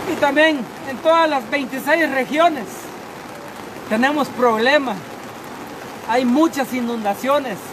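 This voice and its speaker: An extremely high-pitched man at a very slow pace, with long, frequent pauses, ordinary pitch variation and noticeable background noise. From Guatemala, Alta Verapaz. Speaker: town mayor. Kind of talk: emergency appeal. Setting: outdoors. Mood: urgent, pleading. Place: rain. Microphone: phone near.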